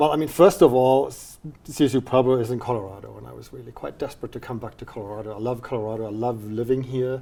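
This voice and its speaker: Speaking at a very fast pace with hardly any pauses, a man with a German accent has a medium pitch, a dark, mellow tone, ordinary pitch variation and big swings in loudness, on a very clean recording with a silent background. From Germany, near the Dutch border. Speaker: university dean. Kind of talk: interview.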